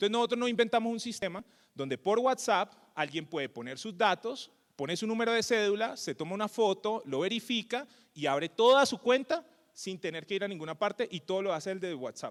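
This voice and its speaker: In a strong Cali accent, a man talks at a fairly quick pace with a high pitch, an animated tone and lively intonation, in a dry, close sound with no echo. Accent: Cali (caleño) Colombian Spanish, strong. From Colombia, Cali. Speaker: tech company co-founder and CEO. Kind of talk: conference talk. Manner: animated, colloquial.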